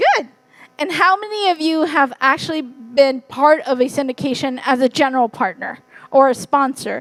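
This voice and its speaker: With a Californian accent, a woman talks at a moderate pace in a high pitch with ordinary pitch variation. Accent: Californian American English. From US, Fresno, California, Hmong American community. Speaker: real estate investor and wealth strategist. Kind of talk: conference talk. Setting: stage with audience.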